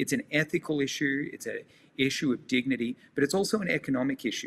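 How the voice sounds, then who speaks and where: A man in an Australian accent, passionate in tone, at a fairly quick pace and medium pitch with ordinary pitch variation. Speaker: nonprofit leader working on homelessness. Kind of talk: interview.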